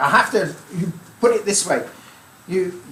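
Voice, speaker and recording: A man speaks in a high voice, raised and projected, with ordinary pitch variation. Noticeable background noise and audible room echo come through. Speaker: amateur radio speaker. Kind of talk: club talk. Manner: light-hearted.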